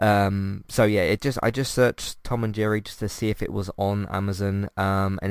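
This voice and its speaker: In a very clean recording with a silent background, a man with a British accent speaks at a fairly low pitch. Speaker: podcast host. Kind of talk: casual review monologue. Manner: hesitant, many fillers.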